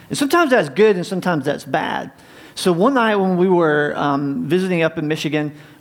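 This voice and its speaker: With noticeable background noise, a man talks in an American accent. His pitch variation is ordinary. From US South, North Carolina. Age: 40s. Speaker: pastor. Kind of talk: sermon. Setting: church.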